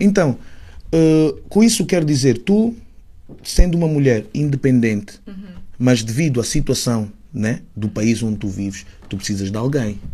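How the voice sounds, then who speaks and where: A man with a medium pitch and a dark, mellow, somewhat breathy tone swings his pitch very widely. He keeps a moderate pace, broken by long, frequent pauses. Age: 30s. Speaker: rapper. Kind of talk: casual chat. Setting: studio.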